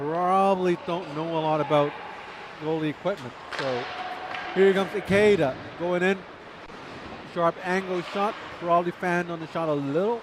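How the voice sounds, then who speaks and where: Noticeable background noise surrounds a man with a high pitch. He keeps fairly even intonation at a moderate pace. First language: Chinese. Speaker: ice hockey commentator. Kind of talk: live commentary. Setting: ice rink. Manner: casual, chatty.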